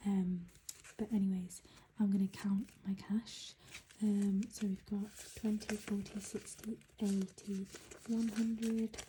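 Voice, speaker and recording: Quiet speech with a British accent, at a fairly slow pace with long, frequent pauses. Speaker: budgeting vlogger. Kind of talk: casual vlog. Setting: at home early morning.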